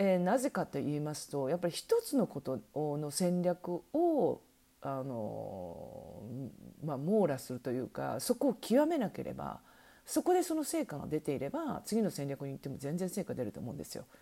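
Her loudness swings widely as a woman talks at a moderate pace. The recording is very clean, with a silent background. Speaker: online shopping consultant and podcast host. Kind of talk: solo podcast talk. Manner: many fillers, hesitant.

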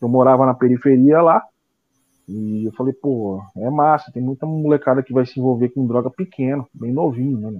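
With a normal speaking voice, a man talks at a medium pitch and moderate pace with ordinary pitch variation. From São Paulo state interior, Penápolis. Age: 40s. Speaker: drummer and NGO founder. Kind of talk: casual interview.

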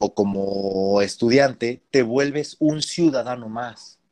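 In an unremarkable speaking voice, a man talks at a medium pitch with ordinary pitch variation, recorded dry and close with no echo. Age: 20s. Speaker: concert pianist. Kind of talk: casual interview.

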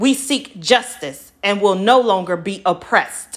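A woman with a medium-pitched voice speaks at a fairly slow pace with lively intonation. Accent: American. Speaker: podcast host and spoken-word poet. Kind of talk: spoken-word poem performed with rhyme, protest and emotional urgency. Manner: impassioned, rhythmic and emphatic, punching the rhymes; intro and outro warm, casual and friendly.

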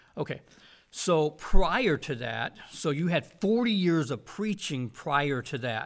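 A man with an American accent speaks very slowly in a fairly high voice, his pitch swinging very widely, on a very clean recording with a silent background. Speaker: podcast host and Bible college teacher. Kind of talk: interview. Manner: halting, many fillers.

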